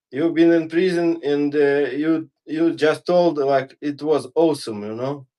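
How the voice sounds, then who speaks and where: A man with a non-native accent, fairly high in pitch and dark, mellow in tone, speaks with fairly even intonation and hardly any pauses. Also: fairly slow pace. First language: not English. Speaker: fitness guest. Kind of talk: casual chat during workout livestream. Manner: halting.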